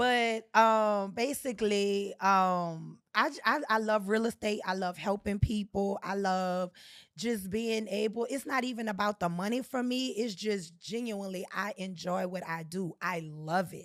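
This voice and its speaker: With a New Orleans accent, a woman speaks at a fairly slow pace with hardly any pauses, in an animated tone at medium pitch with ordinary pitch variation, on a very clean recording with a silent background. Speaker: real estate agent. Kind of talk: casual chat.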